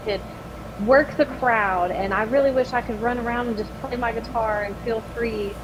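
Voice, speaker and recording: Over noticeable background noise, a woman with a fairly high pitch talks at a fairly quick pace and keeps her intonation fairly even. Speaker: metal band singer. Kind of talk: casual interview chat.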